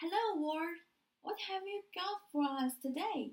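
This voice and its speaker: A woman puts on a loud, squeaky character voice at an extremely high pitch. Her intonation is lively while her pace stays fairly slow. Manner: cheerful, greeting.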